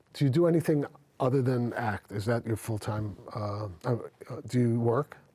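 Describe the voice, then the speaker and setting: This man has a medium pitch, ordinary pitch variation and a somewhat breathy voice, speaking at a moderate pace. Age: 60s. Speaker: talk show host and actor. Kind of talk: casual interview chat. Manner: halting, many fillers and repeats.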